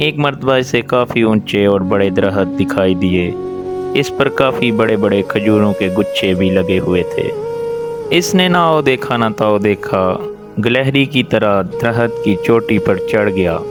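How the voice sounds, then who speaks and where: With music in the background, a man speaks at a fairly low pitch and very even loudness. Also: lively intonation. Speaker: storyteller. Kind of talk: moral story narration.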